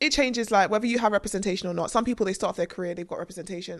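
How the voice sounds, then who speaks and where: In a London accent, a woman speaks at a very fast pace. Her pitch is medium, with ordinary variation. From North West London. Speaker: screenwriter. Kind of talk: casual interview chat.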